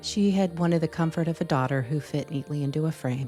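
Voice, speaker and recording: Soft-spoken, a woman talks in a very deep, low pitch over music in the background. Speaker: storyteller. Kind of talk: read story narration. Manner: soft, reflective.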